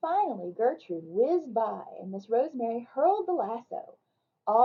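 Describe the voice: With a quiet background, the clip is plain reading aloud.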